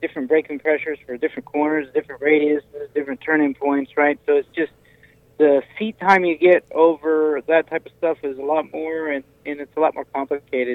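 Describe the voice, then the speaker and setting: A man with an American accent talks at a fairly quick pace in an ordinary speaking voice, his pitch fairly high and his intonation fairly even. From Washington State. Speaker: sprint car driver and kart business owner. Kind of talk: casual interview. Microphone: connection breaking up.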